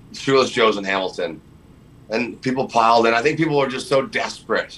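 The man's tone is bright and sharp, and he is loud. His intonation stays fairly even. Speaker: roofer and freedom movement activist. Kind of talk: casual chat. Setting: podcast interview. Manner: loud, outspoken.

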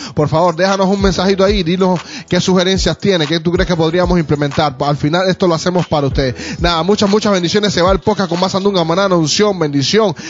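Over music in the background, a man with a high pitch talks at a very fast pace with hardly any pauses. His tone is animated and his loudness very even. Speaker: podcast host. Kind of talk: casual chat.

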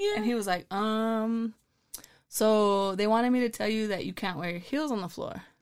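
In a very clean recording with a silent background, a woman with an American accent speaks at a moderate pace in a fairly high pitch, with ordinary pitch variation and an unremarkable speaking voice. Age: 30s. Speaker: former basketball player and coach. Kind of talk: casual interview chat.

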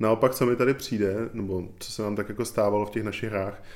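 A man with a fairly low pitch at a very fast pace. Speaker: podcast host. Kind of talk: casual chat about board games.

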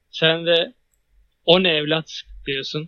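High-pitched male speech. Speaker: podcast host, university student. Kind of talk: casual chat. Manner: loud.

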